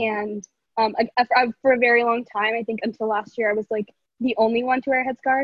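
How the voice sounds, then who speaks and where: With an American accent, a woman talks at a fairly quick pace in a plain, everyday voice, fairly high in pitch and fairly even in intonation. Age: 18. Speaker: student activist, school alum. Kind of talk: casual chat.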